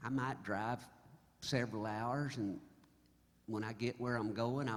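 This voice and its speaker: A man speaks at medium pitch with an American accent. His pace is fairly slow, and room echo is audible. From Oklahoma. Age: 70s. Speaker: singer-songwriter. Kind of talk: stage banter storytelling. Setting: stage with audience. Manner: animated.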